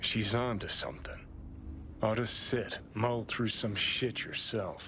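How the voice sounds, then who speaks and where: Clear background noise sits behind a put-on character voice at a fairly slow pace. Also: man, medium pitch for a man. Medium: video game. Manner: blunt, cocky.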